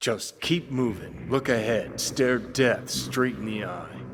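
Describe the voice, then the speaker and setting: A man's put-on character voice at medium pitch, delivered at a fairly slow pace. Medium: video game. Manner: sardonic, blunt.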